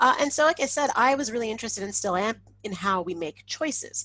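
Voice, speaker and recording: A woman with a Canadian accent talks at a fairly quick pace and a medium pitch, with vocal fry and lively intonation. The sound is dry and close, with no echo. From Canada. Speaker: insect ecologist, professor. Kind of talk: webinar talk. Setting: online webinar. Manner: casual, animated.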